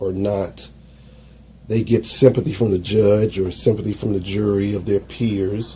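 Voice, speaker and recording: With an American accent, a man speaks in a dark, mellow, somewhat breathy tone at a fairly low pitch, his intonation fairly even. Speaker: YouTube commentator. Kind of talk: video commentary.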